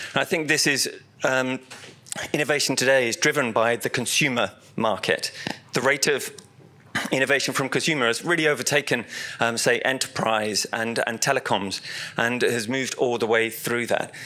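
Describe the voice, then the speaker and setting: Speaking with a British accent, a man at medium pitch keeps his intonation fairly even and leaves long, frequent pauses. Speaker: technology director presenting at an industry event. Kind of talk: conference presentation. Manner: fast; halting, many fillers and repetitions.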